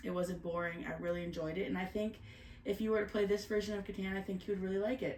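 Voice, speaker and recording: A woman at medium pitch with fairly even intonation, amid audible room echo and noticeable background noise. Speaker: board game reviewer. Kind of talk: casual chat.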